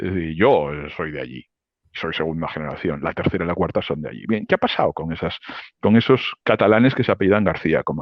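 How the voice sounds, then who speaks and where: Talking very fast with lively intonation, a man with a very deep, low pitch and vocal fry shows big swings in loudness. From Spain, Barcelona (Catalonia). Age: 60s. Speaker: economist and political analyst. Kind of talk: interview. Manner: animated.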